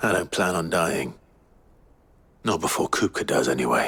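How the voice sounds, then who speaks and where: Using a put-on character voice, a man sounds raspy and very deep, low-pitched, keeping a moderate pace and very even loudness. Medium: video game. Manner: terse, low-key.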